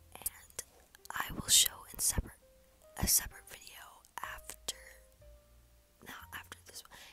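Whispering at a moderate pace, a woman leaves long, frequent pauses, her loudness swinging widely as music plays in the background. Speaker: vlogger. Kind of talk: casual talk to camera. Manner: whispered. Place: home room. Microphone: earbuds.

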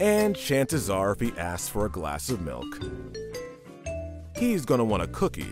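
A man's voice over music in the background. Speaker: voice actor. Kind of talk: children's picture book read-aloud.

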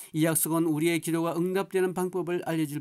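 Recorded very cleanly over a silent background, a man speaks with a high pitch and a dark, mellow tone. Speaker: pastor. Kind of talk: sermon.

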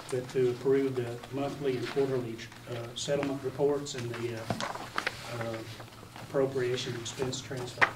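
A man speaks over noticeable background noise. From US South. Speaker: county judge executive chairing meeting. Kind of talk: public meeting. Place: meeting room. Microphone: camera far.

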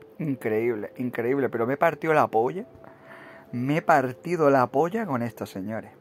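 At a moderate pace, a man talks in a medium pitch with lively intonation. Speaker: gaming YouTuber. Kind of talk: mocking video commentary rant. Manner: animated.

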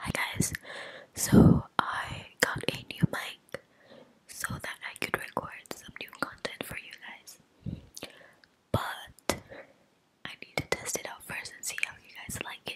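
A woman whispers at a very slow pace with long, frequent pauses and big swings in loudness. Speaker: ASMR creator. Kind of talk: casual vlog chat. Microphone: studio mic.

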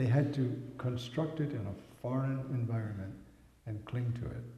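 A man's dark, mellow, somewhat breathy voice at a moderate pace, with ordinary pitch variation and audible room echo. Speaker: priest lecturer. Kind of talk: lecture. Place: home room. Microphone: podium.

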